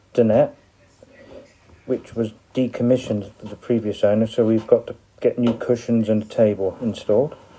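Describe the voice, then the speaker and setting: This man has a West Country accent and a dark, mellow tone at medium pitch. He talks at a moderate pace with monotone, flat intonation. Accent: West Country (wurzel). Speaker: narrowboat owner. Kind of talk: amateur video home tour. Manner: casual, hesitant.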